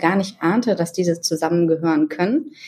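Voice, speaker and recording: The woman's pitch is medium. She has an ordinary speaking voice. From northern Germany. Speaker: marketing executive. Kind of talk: interview.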